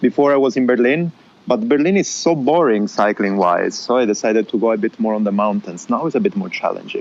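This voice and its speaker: Talking at a very fast pace with an Italian accent, a man of medium pitch lets his voice make very wide pitch swings. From southern Italy. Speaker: podcast guest, cyclist and podcaster. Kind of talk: casual interview chat.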